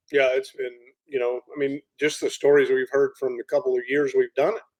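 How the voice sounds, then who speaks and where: A man with an American accent at a moderate pace. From Florida. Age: 50s. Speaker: ranch manager. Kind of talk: podcast interview.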